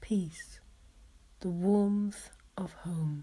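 A woman's medium-pitched, somewhat breathy voice, dark and mellow in tone, gentle and soothing, with fairly even intonation. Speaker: hypnotherapist. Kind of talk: guided hypnosis with rhyming poetry. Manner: slow, soothing, rhythmic; soft-spoken, gentle, hypnotic cadence.

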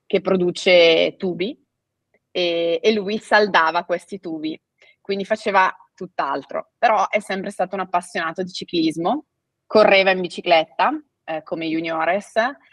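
A woman's medium-pitched voice at a fairly slow pace, with ordinary pitch variation, a dry sound with no echo and a quiet background. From Italy. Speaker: family owner of cycling apparel company; guest. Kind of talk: interview. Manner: hesitant, with fillers. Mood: friendly, storytelling. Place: home room.

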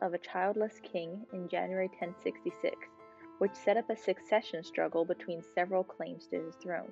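Music plays in the background. A woman speaks over it at a moderate pace. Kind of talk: tutorial narration with history explanation. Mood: calm, friendly.

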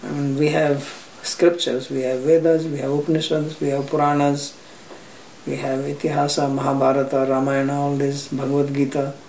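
The speech comes at a fairly quick clip in a monotone, flat delivery, with audible room echo and light background noise. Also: man, fairly high pitch for a man. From India, Haryana. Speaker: spiritual teacher. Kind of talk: interview. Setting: private flat. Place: home room.

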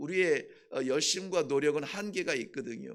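His pitch is fairly high for a man. The intonation is lively. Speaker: pastor. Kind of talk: sermon. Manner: halting, with frequent filler sounds.

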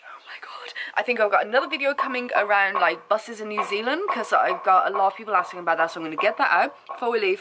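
Noticeable background noise sits behind a woman speaking at a fairly quick pace. Her pitch swings very widely. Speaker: travel vlogger. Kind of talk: casual vlog chat. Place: home room. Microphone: phone near.

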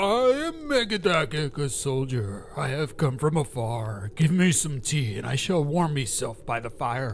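Over clear background noise, a man with a fairly high pitch talks at a moderate pace with hardly any pauses. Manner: blunt, hearty.

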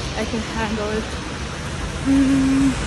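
Loud background noise runs beneath a woman's speech. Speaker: vlogger. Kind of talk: casual vlog chat. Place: street. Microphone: phone near.

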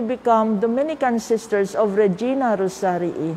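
A woman's fairly slow speech with ordinary pitch variation. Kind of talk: spiritual talk. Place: church. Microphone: lapel.

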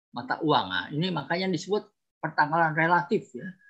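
A man speaks at a moderate pace with ordinary pitch variation. His tone is bright and sharp against a quiet background. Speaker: archaeologist and writer; guest lecturer on history. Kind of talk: webinar presentation. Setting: video call. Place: home room. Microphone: video call.

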